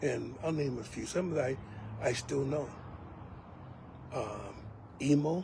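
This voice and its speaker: In a room with audible echo, a speaker with an American accent goes at a fairly slow pace with long, frequent pauses and ordinary pitch variation. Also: man, fairly high pitch for a man. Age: old. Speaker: elder, preacher. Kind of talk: personal reminiscence monologue. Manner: halting, many fillers.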